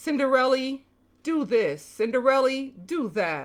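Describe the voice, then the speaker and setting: In a put-on character voice, a woman speaks high-pitched at a fairly slow pace. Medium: read story.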